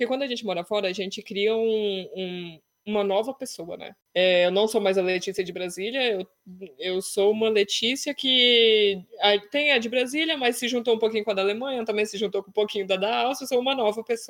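At a fairly quick pace, a woman talks in an ordinary speaking voice that is fairly high, with ordinary pitch variation. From Brazil. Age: 30s. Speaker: travel blogger. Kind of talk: casual chat.

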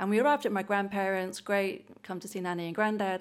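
An English accent at a fairly quick pace, on a very clean recording with a silent background. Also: woman. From England. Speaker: church member sharing testimony. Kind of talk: testimony. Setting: church service.

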